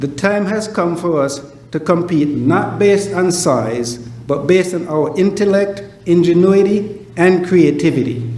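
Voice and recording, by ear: Delivery runs at a fairly slow pace with few pauses and ordinary pitch variation. The tone is slightly mellow, and room echo is audible. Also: man, high pitch for a man.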